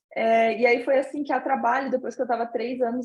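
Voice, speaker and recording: A woman talks in a southern Brazilian accent. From southern Brazil, Santa Catarina (Brusque). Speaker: interviewee, finance professional living abroad. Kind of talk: interview.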